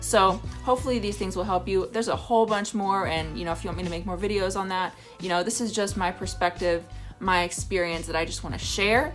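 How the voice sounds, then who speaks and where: Music runs in the background as a woman speaks at a very fast pace. Her intonation stays fairly even. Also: medium pitch for a woman. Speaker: stand-up comedian and vlogger. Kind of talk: casual talk to camera, advice vlog. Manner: conversational, friendly.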